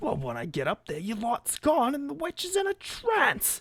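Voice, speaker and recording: A gruff, put-on character voice comes through. The pace is moderate. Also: man, extremely high pitch for a man. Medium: actual play. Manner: gruff, irritable.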